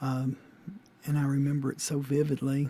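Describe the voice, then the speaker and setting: A man with a Louisiana accent speaks at a fairly slow pace in a dark, mellow tone. His intonation is monotone and flat, and his voice is somewhat breathy. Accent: Southern US (Louisiana). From US South, Shreveport, Louisiana. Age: 60s. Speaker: interviewee, father. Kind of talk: oral history interview. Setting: recorded conversation with daughter. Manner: halting, many fillers.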